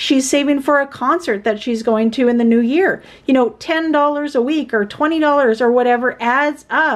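A woman's high voice at a fairly slow pace with hardly any pauses, ordinary pitch variation and very even loudness. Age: 40s. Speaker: budgeting YouTuber; budget vlogger. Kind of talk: casual vlog tutorial. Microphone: phone near.

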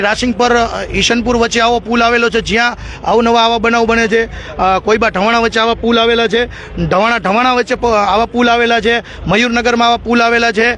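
A man speaks at an extremely high pitch with very even loudness over noticeable background noise. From Gujarat, Morbi district. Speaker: press reporter and swimmer rescuer. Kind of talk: interview.

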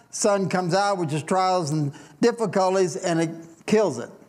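Recorded with audible room echo, a man with an American accent speaks at a high pitch. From US Midwest (Indiana). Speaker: pastor. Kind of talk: sermon. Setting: church.

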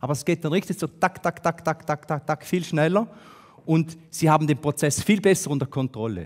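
A man talking at a moderate pace with ordinary pitch variation. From Switzerland, St. Gallen; Switzerland. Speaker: business consultant, speaker; conference speaker. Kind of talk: talk to an audience. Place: hall. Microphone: headset.

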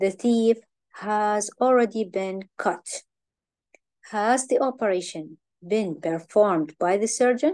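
With an Iraqi accent, a woman speaks fairly slowly in a fairly high pitch, her tone dark and mellow and her intonation lively. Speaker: English teacher. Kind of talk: lecture.

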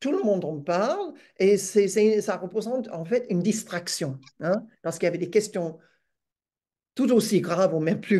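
A woman speaks with an English accent. The background is quiet. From Australia. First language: English (speaking French). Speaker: retired academic and feminist activist. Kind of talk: webinar talk; webinar talk, interview answer. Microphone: video call.

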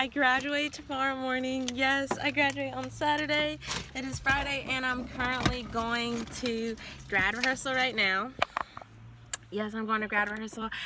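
A woman's voice sounds dry with no echo, set against noticeable background noise. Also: moderate pace. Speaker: student vlogger. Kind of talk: casual vlog chat. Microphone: phone near.

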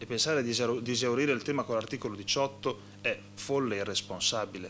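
There is light background noise behind a man's voice. He speaks at a medium pitch with ordinary pitch variation. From Modena, Emilia-Romagna; Emilia-Romagna. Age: 30s. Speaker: regional politician. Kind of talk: panel discussion. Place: meeting room. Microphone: podium.

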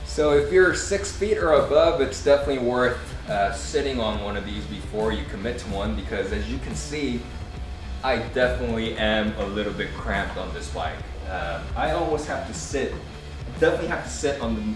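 Fairly quick speech with audible room echo and clear music in the background. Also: man. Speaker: motorbike owner reviewing his bike. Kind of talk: product review talk. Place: shop.

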